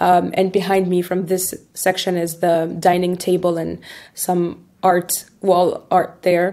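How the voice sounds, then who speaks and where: A woman's fairly low, dark and mellow voice, very slow and flat in a monotone. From Tunisia. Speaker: recruiter. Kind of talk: interview answer. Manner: hesitant, many fillers.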